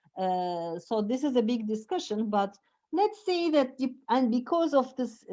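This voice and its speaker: A woman with a Turkish accent speaks at a fairly slow pace with a high pitch and very wide pitch swings. Her tone is dark and mellow, and the background is quiet. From Turkey. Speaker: professor. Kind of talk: lecture. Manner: halting.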